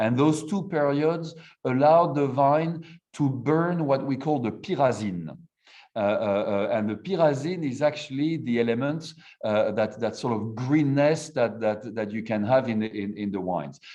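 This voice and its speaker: With a French accent, a man of medium pitch talks at a moderate pace in a dark, mellow tone with lively intonation. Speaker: wine producer. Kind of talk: interview. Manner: halting.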